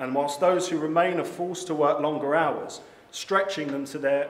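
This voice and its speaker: Audible room echo surrounds a man speaking at a fairly high pitch with an English accent. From England. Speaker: political candidate. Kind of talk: political speech. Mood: indignant, campaigning. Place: hall. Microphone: podium.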